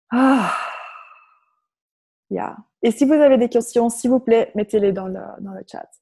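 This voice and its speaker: A woman's fairly high-pitched voice with a dark, mellow tone, at a very slow pace with long, frequent pauses, ordinary pitch variation and big swings in loudness, in dry, close sound with no echo. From Flanders, Belgium. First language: Dutch (Flemish) (speaking French). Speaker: personal development facilitator. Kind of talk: guided meditation. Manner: hesitant, with fillers.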